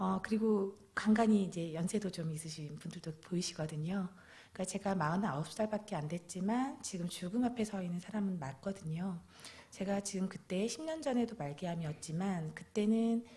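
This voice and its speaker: Here is a woman with an ordinary speaking voice at medium pitch. She keeps a moderate pace and ordinary pitch variation. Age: 40s. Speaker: guest preacher, cancer patient giving testimony. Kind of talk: testimony. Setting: church with congregation.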